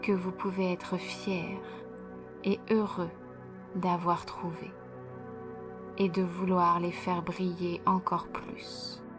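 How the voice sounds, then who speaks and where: A woman speaks at a very slow pace and fairly low pitch, her intonation monotone and flat. Long, frequent pauses break her speech as music plays in the background. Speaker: hypnotherapist. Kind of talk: guided hypnosis session. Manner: slow, soft-spoken.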